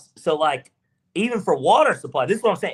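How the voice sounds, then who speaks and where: In an American accent, a man speaks at a very fast pace in an animated tone with very wide pitch swings. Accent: Southern accent, sounds country to others. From US South, Georgia. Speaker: sports podcast co-host. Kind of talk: casual chat.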